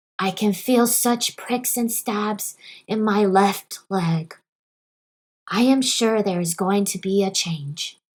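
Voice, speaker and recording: A woman puts on a hoarse character voice at a medium pitch. She speaks at a fairly slow pace. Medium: read story. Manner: gruff, know-it-all.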